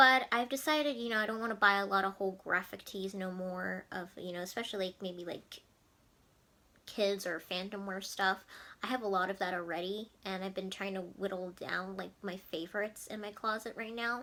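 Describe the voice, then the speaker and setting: A woman speaks at a medium pitch and a fairly quick pace, her tone bright and sharp and her intonation fairly even. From New Jersey. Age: 20s. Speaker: lifestyle vlogger. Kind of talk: casual vlog monologue.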